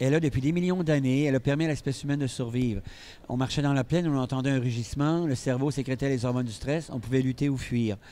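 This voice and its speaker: Very fast and at medium pitch, a man speaks in a dark, mellow tone with fairly even intonation and very even loudness. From Quebec. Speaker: psychiatrist and speaker. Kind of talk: interview.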